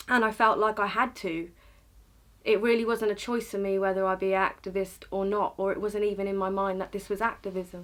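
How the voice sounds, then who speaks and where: A woman with a medium pitch talks at a fairly quick pace in a monotone, flat intonation. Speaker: education activist. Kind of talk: interview answer.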